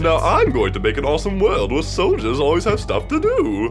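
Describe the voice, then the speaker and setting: Loud background music under a man speaking at a fairly quick pace. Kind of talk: comic parody dub. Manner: smooth, pep-talk friendly.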